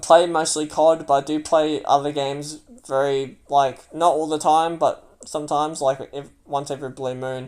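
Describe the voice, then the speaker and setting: Speaking at a moderate pace, a man with an Australian accent uses a fairly high pitch and a monotone, flat intonation. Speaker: gamer and livestreamer. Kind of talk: livestream monologue. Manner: loud.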